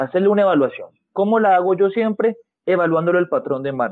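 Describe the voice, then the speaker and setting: A man's high voice races along at a very fast pace, his intonation lively. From Colombia, Cali. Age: 20s. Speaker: physiotherapist. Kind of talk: interview.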